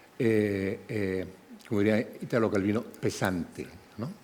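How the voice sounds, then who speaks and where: A man talks at a fairly slow pace. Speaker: panel moderator. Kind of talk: moderated panel discussion. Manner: halting, many repetitions.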